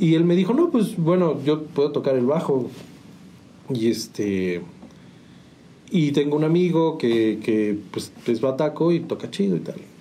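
Pausing long and often, a man talks at a fairly slow pace, his fairly high pitch moving in very wide swings. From Mexico, San Juan del Río, Querétaro. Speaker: musician. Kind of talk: interview. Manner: halting, repeats words.

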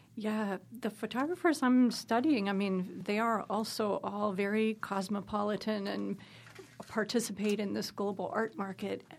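Speaking at a moderate pace, the woman has an ordinary speaking voice, medium in pitch, with fairly even intonation. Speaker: scholar of North African art. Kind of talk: interview conversation.

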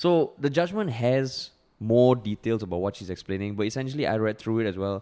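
In a very clean recording with a silent background, a man with a dark, mellow tone speaks at a fairly quick pace with lively intonation. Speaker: comedian and podcast host. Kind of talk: casual chat. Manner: animated.

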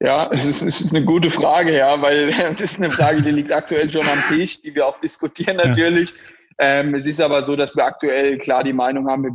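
This man has an ordinary speaking voice with a fairly high pitch. He talks at a fairly quick pace with fairly even intonation. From rural Germany. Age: 20s. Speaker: startup founder and CEO. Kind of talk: interview.

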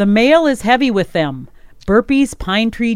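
This woman has an Upper Midwest US accent and a fairly high pitch. She speaks at a moderate pace with lively intonation. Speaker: radio host. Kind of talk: casual radio chat. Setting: radio studio.

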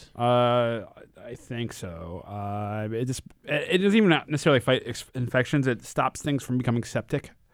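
Lively intonation marks a man with a plain, everyday voice and an American accent, speaking at medium pitch and a moderate pace. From Connecticut. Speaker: event organizer. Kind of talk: casual chat.

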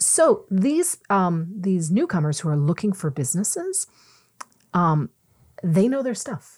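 A woman with a Canadian accent speaks at medium pitch, somewhat breathy. Her pitch swings very widely. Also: fairly slow pace. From Ontario, Canada (Mississauga). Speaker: entrepreneur and former journalist. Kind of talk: casual interview. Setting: podcast studio.

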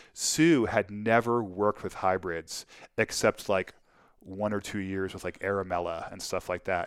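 A normal speaking voice at a moderate pace, with ordinary pitch variation and big swings in loudness, comes through in a very clean recording with a silent background. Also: man. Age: 50s. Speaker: winemaker. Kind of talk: casual chat.

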